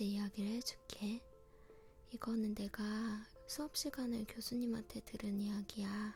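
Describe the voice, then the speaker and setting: Someone whispers, soft-spoken and at a fairly slow pace. Music is playing in the background. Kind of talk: scary story retold in informal speech. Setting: quiet home recording setup. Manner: soft, non-whispered, intimate.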